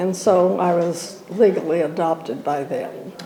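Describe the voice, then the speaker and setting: An American accent, ordinary pitch variation, noticeable background noise and audible room echo. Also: woman. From Southern California. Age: 90s. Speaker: elderly church member. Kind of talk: interview reminiscence. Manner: halting, many fillers.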